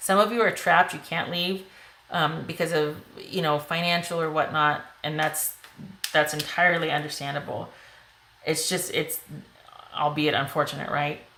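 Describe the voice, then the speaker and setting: A woman with a very deep, low pitch speaks with long, frequent pauses in a room with audible echo. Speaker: tarot reader. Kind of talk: tarot reading to camera. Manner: fast; animated.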